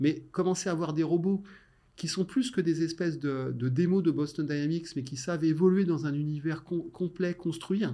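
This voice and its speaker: A man's somewhat breathy, dark, mellow voice at a moderate pace with ordinary pitch variation, on a very clean recording with a silent background. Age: 50s. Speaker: tech innovation director. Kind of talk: interview.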